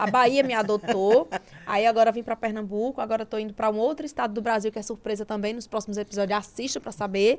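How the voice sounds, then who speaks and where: Her pitch is fairly high, and her intonation stays fairly even. The woman talks at a very fast pace. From Brazilian Northeast, interior of Sergipe. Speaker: podcast host. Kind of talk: interview.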